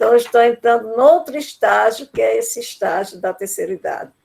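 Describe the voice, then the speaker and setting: A woman speaking at a moderate pace. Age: 70s. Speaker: university lecturer on education. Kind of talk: lecture. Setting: video call.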